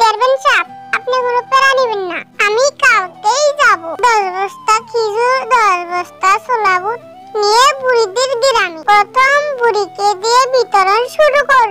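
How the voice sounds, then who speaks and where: A woman does a cartoonish character voice at a fairly slow pace, with clear music in the background. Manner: eager, deferential.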